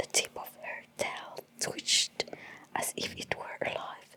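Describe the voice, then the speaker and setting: The voice whispers in a soothing tone at a very slow pace. Noticeable background noise is present. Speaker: ASMR artist. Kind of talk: bedtime story reading. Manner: whispered; soft, soothing.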